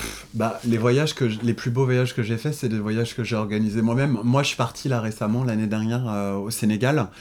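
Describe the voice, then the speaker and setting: Here a man speaks at a fairly quick pace with hardly any pauses. His pitch is medium and his intonation fairly even. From Paris suburbs, France. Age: 20s. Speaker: influencer and entrepreneur. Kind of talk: casual interview. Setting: at his Paris apartment. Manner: hesitant, many fillers.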